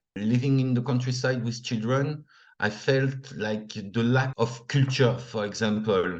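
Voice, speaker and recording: A man with a French accent speaks at a fairly slow pace. His pitch is medium and his intonation fairly even. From northern France. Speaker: returned expat, former English teacher. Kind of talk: interview.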